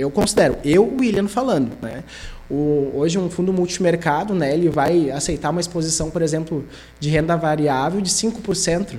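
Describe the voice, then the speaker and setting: At a moderate pace, a man speaks in a high pitch. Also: ordinary pitch variation. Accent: Gaúcho Brazilian. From southern Brazil, Sapiranga (Rio Grande do Sul). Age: 30s. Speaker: investment advisor. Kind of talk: interview.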